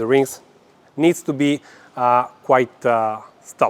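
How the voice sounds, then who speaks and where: The speaker has a non-native accent and a very slow pace. The sound is dry and close with no echo. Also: man. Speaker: gymnastics coach. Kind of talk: lecture. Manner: halting, many fillers.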